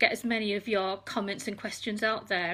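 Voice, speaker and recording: A woman with an English accent and a bright, sharp tone talks at a moderate pace, her pitch fairly high and her intonation monotone and flat. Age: 60s. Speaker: retired nurse. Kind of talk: talk to an online group. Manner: hesitant, many fillers.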